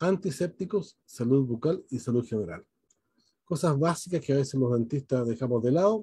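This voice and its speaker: A man with a fairly high pitch and a dark, mellow tone talks at a moderate pace with lively intonation in a dry sound with no echo over a quiet background. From Chile. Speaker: dentist and event moderator; webinar host, moderator. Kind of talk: webinar moderation. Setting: video call. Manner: hesitant, many fillers. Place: home room. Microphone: video call.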